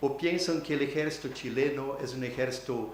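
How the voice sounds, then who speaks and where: A man at medium pitch talks at a fairly slow pace, with audible room echo and noticeable background noise. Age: 60s. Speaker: academic keynote speaker. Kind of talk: conference talk. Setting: university auditorium. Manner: halting, with many hesitations.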